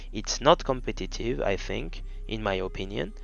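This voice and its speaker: With a French accent, a man speaks at a fairly slow pace over music in the background. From France. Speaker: card game youtuber. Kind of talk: deck profile tutorial. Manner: halting, many fillers.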